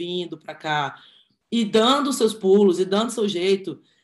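Speaking at a fairly slow pace, a woman uses an ordinary speaking voice with a medium pitch. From Brazil, Brasília. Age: 20s. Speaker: physiotherapist and handball coach. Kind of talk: casual chat.

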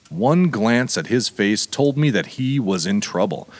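This is plain reading aloud with lively intonation.

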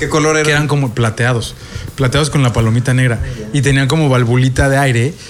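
The speech moves at a very fast pace with very even loudness and fairly even intonation. Noticeable background noise sits behind it. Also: man, medium pitch for a man. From Mexico City. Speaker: rock podcast co-host. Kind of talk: casual chat.

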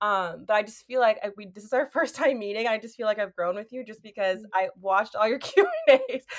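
A woman with an American accent speaks in an unremarkable speaking voice at a fairly high pitch and a fairly quick pace, with hardly any pauses. Her loudness swings a lot while her pitch varies in an ordinary way. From US Northeast. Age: 20s. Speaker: podcast host. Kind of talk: casual chat. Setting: video call.

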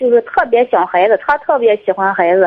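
A woman's fairly high voice at a moderate pace, with very wide swings in pitch. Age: 20s. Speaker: caller. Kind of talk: call-in advice chat. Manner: halting.

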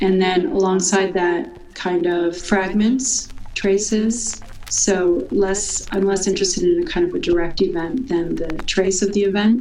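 Recorded with audible room echo and noticeable background noise, a woman with a New York accent speaks at medium pitch with ordinary pitch variation. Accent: New York American. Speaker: composer and artist. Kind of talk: interview.

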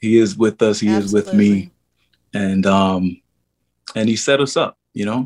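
A man with a New York accent, fairly low in pitch, at a moderate pace with fairly even intonation and long, frequent pauses. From New York City, Harlem. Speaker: actor. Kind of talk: interview.

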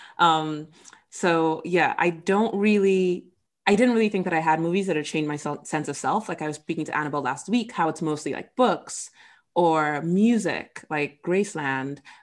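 An unremarkable speaking voice, moderately paced with ordinary pitch variation, on a very clean recording with a silent background. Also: woman, fairly low pitch for a woman. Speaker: podcast host. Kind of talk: casual chat.

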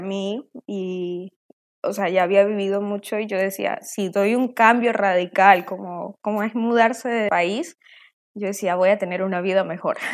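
Fairly even intonation and a fairly slow speed in a woman's medium-pitched voice. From Colombia, later Venezuela. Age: 20s. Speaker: interview guest sharing life story. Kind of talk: testimony.

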